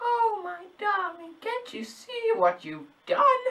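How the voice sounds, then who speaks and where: The voice is a squeaky, put-on character voice at an extremely high pitch. It moves at a very slow pace. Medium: read story. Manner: sly, taunting.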